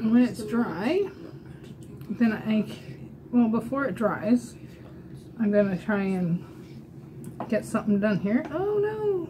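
Very slow delivery with long, frequent pauses and noticeable background noise. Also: woman. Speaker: makeup demonstrator. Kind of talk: tutorial. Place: home room. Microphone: webcam.

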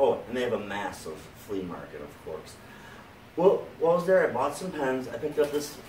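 Over light background noise and with audible room echo, a man talks at a moderate pace. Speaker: pen seller. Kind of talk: casual vlog chat.

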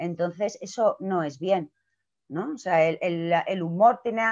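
Against a quiet background, a woman uses a normal speaking voice at medium pitch and a fairly slow pace. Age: 40s. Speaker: clown and theatre director; speaker. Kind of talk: talk on a video call. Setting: video call. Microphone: video call.

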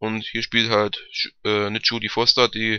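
A man speaks at fairly low pitch and a fairly slow pace, his intonation monotone and flat. His tone is bright and sharp, yet clear and smooth.

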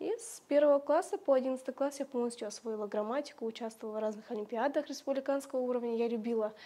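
A woman talks very fast in a high voice with a dark, mellow tone. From Kazakhstan, rural village. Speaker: Kazakh language teacher and social media creator; Kazakh language teacher, social media creator. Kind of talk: interview. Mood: warm, reminiscing. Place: home room. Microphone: lapel.

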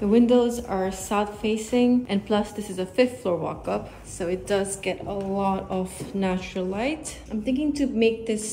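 A woman talks at a fairly slow pace with ordinary pitch variation. Light background noise is present. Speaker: vlogger. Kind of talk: casual vlog chat. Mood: excited, upbeat. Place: home room. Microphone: phone near.

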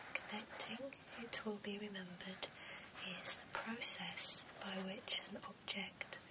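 A soft-spoken woman at a very slow pace over loud background noise. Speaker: bookseller roleplay host. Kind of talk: soft-spoken reading aloud and roleplay chat. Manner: soft, hushed ASMR reading voice.

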